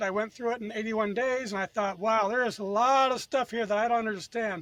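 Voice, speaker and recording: Recorded with a dry, close sound with no echo and a quiet background, a man speaks at a high pitch with fairly even intonation. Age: 60s. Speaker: author and former business owner. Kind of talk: interview. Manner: halting, frequent repetitions.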